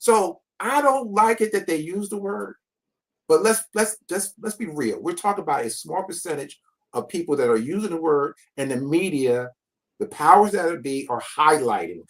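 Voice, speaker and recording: Speaking at a moderate pace with an American accent, a man lets his pitch swing very widely. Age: 60s. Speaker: panel guest commentator. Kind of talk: panel discussion.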